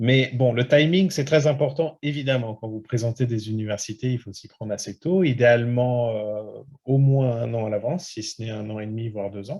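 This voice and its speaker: Over a quiet background, a man at medium pitch talks at a moderate pace with hardly any pauses, big swings in loudness and ordinary pitch variation. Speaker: study abroad consultant. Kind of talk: webinar presentation. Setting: online webinar. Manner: many hesitations.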